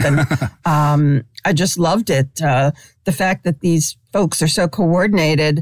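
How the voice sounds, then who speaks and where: On a very clean recording with a silent background, a woman with an American accent and a very deep, low pitch speaks at a moderate pace. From New York City, Brooklyn. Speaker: sports columnist. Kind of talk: interview.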